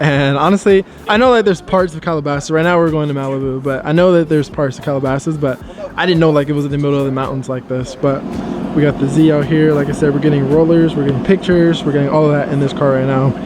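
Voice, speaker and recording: A man talks at a very fast pace in a fairly high voice, his intonation fairly even. Music plays in the background. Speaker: car vlogger. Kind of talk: casual vlog.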